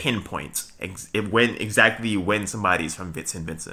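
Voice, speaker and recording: A man with a Trinidadian accent, a fairly low pitch, ordinary pitch variation and a bright, sharp tone, on a very clean recording with a silent background. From Brooklyn, New York. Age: 20s. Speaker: vlogger. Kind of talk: casual monologue. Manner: halting, many fillers and restarts.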